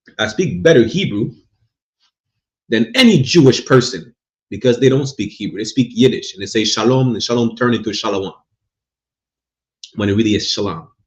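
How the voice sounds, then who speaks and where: A somewhat breathy, medium-pitched male voice at a fairly quick pace, with ordinary pitch variation and long, frequent pauses. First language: not English. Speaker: religious teacher. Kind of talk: religious class lecture. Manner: repetitive, stammering restarts.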